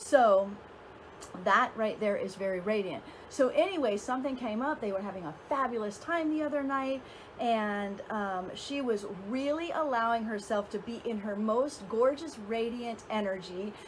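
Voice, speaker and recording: With lively intonation and a fairly high pitch, a woman talks at a moderate pace amid noticeable background noise and audible room echo. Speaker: dating and relationship coach. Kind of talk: casual vlog talk to camera. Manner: hesitant with fillers.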